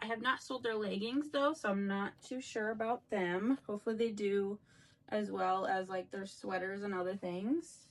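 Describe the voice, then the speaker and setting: This woman has a plain, everyday voice with a medium pitch, ordinary pitch variation and a moderate pace. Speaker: reseller vlogger. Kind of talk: casual vlog talk.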